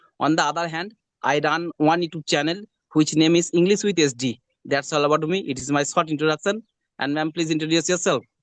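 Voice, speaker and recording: A man with a Bengali accent talks at a very fast pace. His pitch is fairly high, and his intonation fairly even. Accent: Bengali Indian English. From West Bengal, India. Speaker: hospital attendant, English learner. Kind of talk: English conversation practice. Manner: halting.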